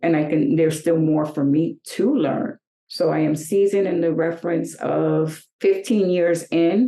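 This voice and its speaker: A woman with a fairly low pitch and ordinary pitch variation talks in a normal speaking voice with an American accent. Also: fairly slow pace. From New York. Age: 60s. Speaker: fashion model. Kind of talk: interview.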